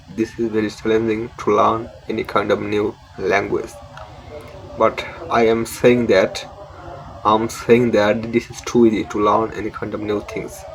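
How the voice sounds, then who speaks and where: A man's medium-pitched, monotone, flat voice with a Bengali accent, over noticeable background noise. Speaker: English learning YouTuber. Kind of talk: tutorial. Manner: halting.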